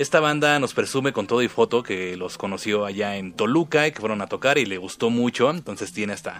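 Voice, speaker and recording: With music in the background, a man at medium pitch talks at a moderate pace with ordinary pitch variation. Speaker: radio host. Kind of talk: casual radio show. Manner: subdued, listless delivery.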